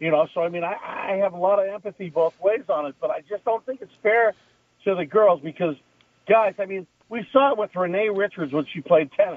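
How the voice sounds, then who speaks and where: An American-accented man, high-pitched and talking at a fairly quick pace. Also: ordinary pitch variation. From Southern California. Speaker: former football kicker, sports commentator. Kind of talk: casual chat.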